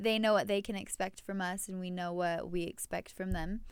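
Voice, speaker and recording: On a very clean recording with a silent background, a woman speaks at a moderate pace in a plain, everyday voice with fairly even intonation. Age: 20s. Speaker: baker and podcast co-host. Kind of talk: casual chat.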